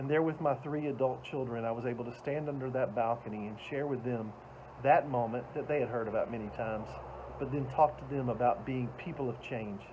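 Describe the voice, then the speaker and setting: Speaking with a Southern US accent, a man keeps a fairly quick pace. His intonation is fairly even. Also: medium pitch for a man. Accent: Southern American. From US South, Atlanta, Georgia. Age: 60s. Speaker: motivational speaker. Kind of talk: motivational talk.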